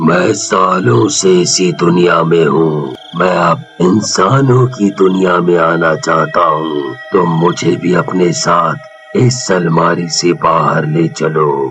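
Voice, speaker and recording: In a put-on character voice, a man speaks very slowly at a very deep, low pitch. Clear background noise runs behind him. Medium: read story.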